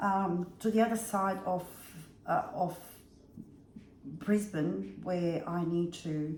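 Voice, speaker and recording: A woman with a Bosnian accent speaks at a fairly low pitch with fairly even intonation. Audible room echo surrounds her voice. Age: 50s. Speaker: vlogger. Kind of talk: casual storytelling vlog.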